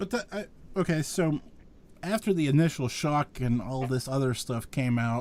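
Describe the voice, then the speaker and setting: A man speaks with a fairly high pitch and lively intonation, at a moderate pace. He has an American accent and an ordinary speaking voice. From western Pennsylvania. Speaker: podcast host. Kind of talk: interview conversation. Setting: live virtual show.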